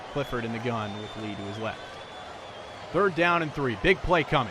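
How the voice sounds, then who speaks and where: A man talks at a fairly quick pace with lively intonation as noticeable background noise goes on. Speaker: play-by-play football announcer. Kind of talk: live sports broadcast play-by-play.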